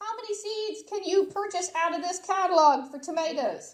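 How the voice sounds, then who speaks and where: A woman talks loudly at a fairly quick pace, her intonation lively. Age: 50s. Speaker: master gardener giving a talk. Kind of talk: lecture. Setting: hybrid meeting room with live audience and webcast.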